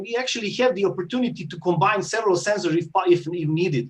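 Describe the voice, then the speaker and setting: A man with a high voice talks very fast in a non-native accent. His pitch rises and falls in an ordinary way. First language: not English. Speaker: startup founder. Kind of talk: pitch Q&A. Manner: halting, many fillers.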